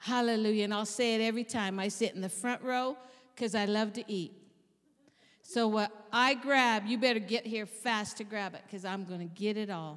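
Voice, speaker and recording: This woman's voice is fairly high. She keeps to a moderate pace. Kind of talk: warm, joking pulpit address with call-and-response and a funny personal story.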